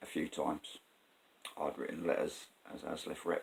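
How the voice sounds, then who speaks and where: A man in a South London accent at a moderate pace. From South London, England. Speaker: vlogger, former train driver. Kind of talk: casual personal storytelling vlog. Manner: conversational, hesitant with fillers.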